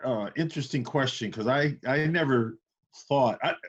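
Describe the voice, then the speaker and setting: A man speaks with a US Midwestern accent. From Iowa, US Midwest. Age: 60s. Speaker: university chancellor. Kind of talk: interview.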